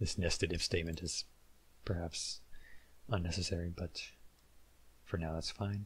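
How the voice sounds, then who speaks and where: A man's very deep, low voice, somewhat breathy, with fairly even intonation, a moderate pace, and long, frequent pauses. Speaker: game development tutorial creator. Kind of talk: tutorial. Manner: monotone; casual, hesitant with filler words.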